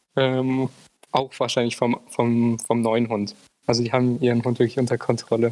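Here a man speaks at a medium pitch and a moderate pace. His intonation is monotone and flat. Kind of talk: casual chat.

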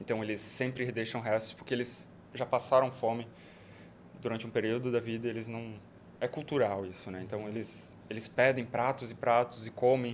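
Speaking at a moderate pace, a man uses a medium pitch with monotone, flat intonation. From Brazil, Joinville (Santa Catarina). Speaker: entrepreneur, international relations graduate. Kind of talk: casual interview chat.

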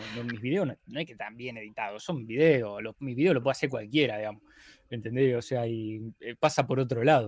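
A man with an unremarkable speaking voice talks at a fairly quick pace and medium pitch, his pitch varying in an ordinary way and his loudness swinging widely. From Argentina, Rosario. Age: 30s. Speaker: video editor and YouTuber. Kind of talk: casual interview chat.

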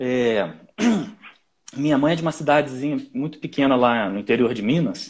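At a moderate pace, a man with a fairly high pitch talks in very wide pitch swings. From Brazil, Nova Friburgo (Rio de Janeiro state). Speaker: orchestral flutist. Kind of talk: casual interview.

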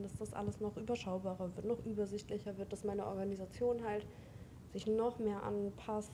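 A woman's medium-pitched, monotone, flat delivery at a fairly quick pace, with noticeable background noise. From Hildesheim, Lower Saxony, Germany. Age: 20s. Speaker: tattoo artist. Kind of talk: casual interview chat. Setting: in person, mobile recording setup.

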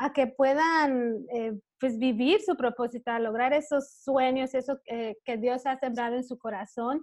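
A fairly slow-paced woman's voice over a quiet background. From Belize. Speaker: women's business and faith coach. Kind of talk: interview.

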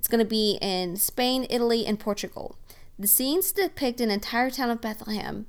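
At a moderate pace, a woman with an Oklahoma accent speaks in a fairly high voice with ordinary pitch variation. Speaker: podcast host. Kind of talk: scripted-style podcast monologue, casual.

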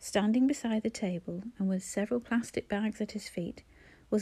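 This is plain reading aloud. The text is simply read through.

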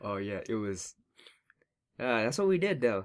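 A man has an ordinary speaking voice, medium in pitch. He talks at a fairly quick pace with lively intonation. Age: 20s. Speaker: podcast co-host. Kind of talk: casual chat.

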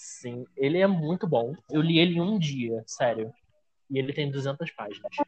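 In a dry, close sound with no echo, a man with an ordinary speaking voice talks at a fairly slow pace with lively intonation. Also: fairly high pitch for a man. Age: 20s. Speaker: author and editorial assistant. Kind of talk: casual chat. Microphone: bad internet connection.

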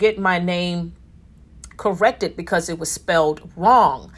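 With an American accent, a woman of fairly low pitch speaks in an animated tone at a fairly slow pace, using ordinary pitch variation. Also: very clean recording, silent background. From Newark, New Jersey. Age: 50s. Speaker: podcast host. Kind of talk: casual monologue with faith talk.

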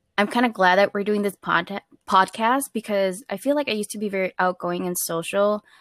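In an American accent and a normal speaking voice, a woman talks at a fairly quick pace with medium pitch and ordinary pitch variation, in a very clean recording with a silent background and a dry, close sound with no echo. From Minnesota, Twin Cities. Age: 20s. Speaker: podcast co-host. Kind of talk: casual chat.

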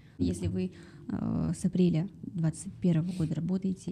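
The voice carries noticeable vocal fry. Its tone is dark and mellow. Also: woman. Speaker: podcast host and interviewer. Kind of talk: interview conversation.

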